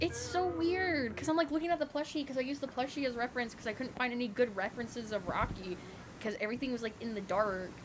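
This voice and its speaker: A high, lively woman's voice with an American accent at a very fast pace, over noticeable background noise. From US South. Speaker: streamer. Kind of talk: casual live-stream chat while 3D modeling. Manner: casual, filler-heavy, self-correcting.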